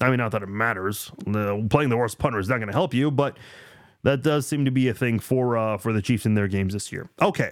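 Over a very clean recording with a silent background, a man with a medium pitch talks at a fairly quick pace in an unremarkable speaking voice. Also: ordinary pitch variation. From immigrated to the US as a child from abroad. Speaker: sports podcast host. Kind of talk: casual solo sports podcast with live chat comments.

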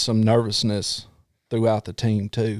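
On a very clean recording with a silent background, a man with a Southern US accent speaks at medium pitch and a moderate pace. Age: 40s. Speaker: former police officer, podcast host. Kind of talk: casual chat.

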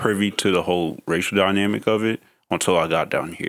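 In a very clean recording with a silent background, a man talks at a moderate pace with fairly even intonation. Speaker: podcast host. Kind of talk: casual interview chat. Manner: laid back.

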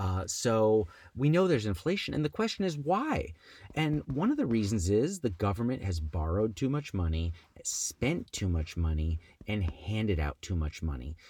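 Speaking at a moderate pace, a somewhat breathy man with a fairly low pitch makes very wide pitch swings in a very clean recording with a silent background. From New Jersey. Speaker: Senate candidate. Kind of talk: interview.

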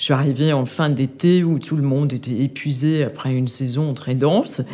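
Very slowly, a woman talks with a very deep, low pitch. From Denmark. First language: Danish (speaking French). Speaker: art gallery owner. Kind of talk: interview. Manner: halting.

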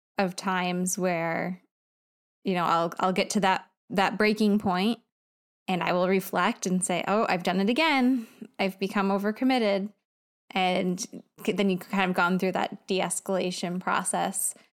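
In a very clean recording with a silent background, a woman uses a normal speaking voice at medium pitch, with fairly even intonation, very even loudness and a moderate pace. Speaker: podcast co-host. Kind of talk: casual conversation.

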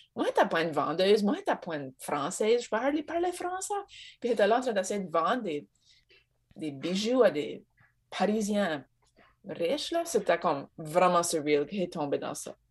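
A woman with an Acadian accent talks at a moderate pace and a medium pitch, with very wide pitch swings and long, frequent pauses. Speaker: Acadian cultural organization worker. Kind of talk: casual chat.

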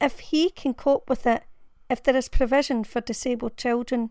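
A woman's high voice with a Glaswegian accent. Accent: Glaswegian Scottish. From Glasgow, Scotland. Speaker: blogger and parent reading her own blog post. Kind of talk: dramatic narration of a personal blog essay, reading aloud with emotional emphasis. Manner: earnest, heartfelt, measured and emotive, building to a consoling direct address.

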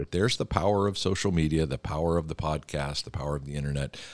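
With an American accent, a man speaks in a very deep, low pitch with ordinary pitch variation, in a dry, close sound with no echo. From Philadelphia, US Northeast. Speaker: church denomination leader and podcast host. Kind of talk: casual interview. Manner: fast talker; warm, chatty.

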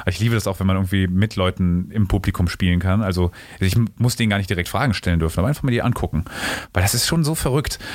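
Very deep and low, a man's voice moves at a very fast pace. His loudness stays very even while his pitch varies in an ordinary way. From Rhineland, Germany (Bonn). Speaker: stage actor. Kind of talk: interview.

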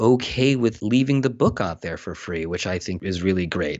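A man with an American accent and a normal speaking voice, lively intonation, moderate pace. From Pennsylvania, US. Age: 30s. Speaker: television comedy writer. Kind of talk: interview.

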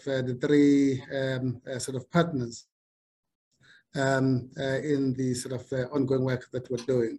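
Very slowly, a man speaks in a fairly high pitch with a dark, mellow tone and a somewhat breathy quality. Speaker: bank chief executive. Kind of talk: formal interview. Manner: hesitant, fillers.

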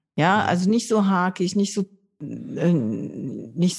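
Set against a quiet background, a woman's fairly low, somewhat breathy voice shows ordinary pitch variation. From northern Germany (Low German area). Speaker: board game podcast host. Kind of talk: casual chat. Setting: recording from home.

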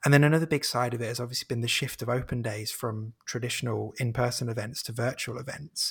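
Speaking at a very fast pace with hardly any pauses, a man uses a medium pitch. His voice is somewhat breathy. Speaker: marketing and content head, podcaster. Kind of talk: casual interview.

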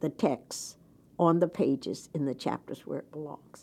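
In an American accent, a woman with a very deep, low pitch and vocal fry speaks with ordinary pitch variation on a very clean recording with a silent background. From US South, Jacksonville, Florida. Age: 80s+. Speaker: education advocate and political advisor. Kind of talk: interview. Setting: studio. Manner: outspoken, blunt.

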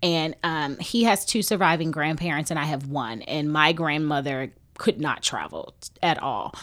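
A woman with a Texas accent speaks at a moderate pace in a very deep, low voice, her pitch varying in an ordinary way. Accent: Southern US (Texas). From Houston, Texas. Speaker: recently married bride, reality TV participant. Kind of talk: casual chat.

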